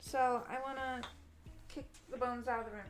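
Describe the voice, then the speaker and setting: A woman with high pitch speaks in a flat monotone at a moderate pace. Room echo is audible, with music in the background. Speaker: vtuber streamer. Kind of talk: casual chat. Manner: loud.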